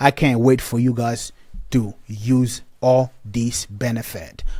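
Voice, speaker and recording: A man speaks at a very slow pace in a medium pitch. The recording is very clean, with a silent background. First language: not English (English is fourth language). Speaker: app company representative. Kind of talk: software tutorial. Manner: halting, repetitive.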